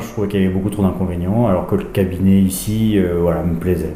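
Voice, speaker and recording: A man speaks at a fairly low pitch with monotone, flat intonation. Audible room echo and noticeable background noise surround him. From France, Charente (Angoulême area). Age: 40s. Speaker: rural health practitioner. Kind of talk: interview testimony. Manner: hesitant, many fillers.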